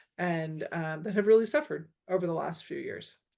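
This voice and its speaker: The speaking pace is moderate. The background is quiet. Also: woman. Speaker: school board trustee. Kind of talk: community meeting update. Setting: online meeting.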